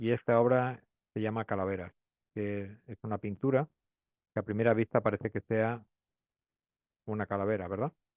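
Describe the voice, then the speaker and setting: With a Spanish accent, a man of fairly low pitch speaks at a moderate pace with fairly even intonation and long, frequent pauses. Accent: Spanish (Spain). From Spain, Madrid. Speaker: pathologist. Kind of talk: lecture. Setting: webinar. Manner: hesitant, many fillers.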